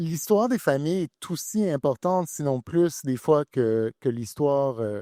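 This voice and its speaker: A man with a fairly high pitch and a dark, mellow tone speaks at a fairly slow pace with lively intonation and hardly any pauses, in a very clean recording with a silent background and a dry, close sound with no echo. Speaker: author, columnist. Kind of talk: literary panel discussion.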